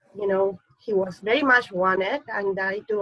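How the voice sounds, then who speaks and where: A woman speaks with a slight non-native accent and a medium pitch. Her pace is fairly slow and her intonation fairly even. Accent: slight foreign accent, Spanish-speaking. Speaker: surrogacy agency executive. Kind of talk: panel discussion.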